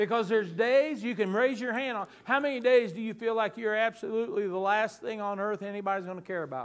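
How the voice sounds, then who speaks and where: A man with a slight Southern US accent speaks at a fairly quick pace in a high, animated voice with ordinary pitch variation. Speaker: pastor. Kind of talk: sermon. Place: church. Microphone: lapel.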